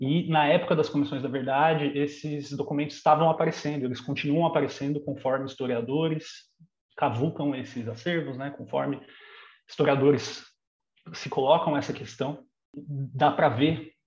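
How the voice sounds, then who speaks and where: A man talks at a moderate pace in a somewhat breathy, fairly high voice. His intonation stays fairly even. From Brazil, São Bernardo do Campo (São Paulo state). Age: 30s. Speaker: historian. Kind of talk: interview.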